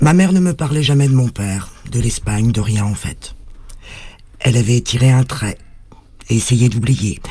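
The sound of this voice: This man has a dark, mellow tone at a medium pitch, talking at a moderate pace with ordinary pitch variation.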